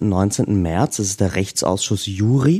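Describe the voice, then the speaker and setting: A man speaks with a slight Austrian accent at a fairly low pitch and a fairly slow pace. His tone is dark and mellow, with ordinary pitch variation and a dry, close sound with no echo. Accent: slight Austrian, often taken for German. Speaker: activist and stand-in co-host. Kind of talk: casual chat. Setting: remote call.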